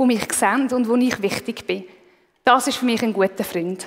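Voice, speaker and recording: A woman talks fairly quickly in a fairly high voice with fairly even intonation. It is an unremarkable speaking voice. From Switzerland, Aargau. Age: 30s. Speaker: lay preacher. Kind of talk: sermon.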